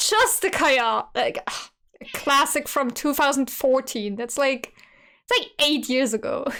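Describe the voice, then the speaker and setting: Her tone is animated, bright and sharp, and her intonation is lively. This woman speaks at a high pitch and a fairly slow pace. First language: German. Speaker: streamer. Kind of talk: casual reaction commentary.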